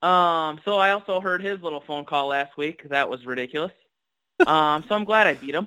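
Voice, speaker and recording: This man talks at a moderate pace with lively intonation. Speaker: fantasy football league member. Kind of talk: casual chat.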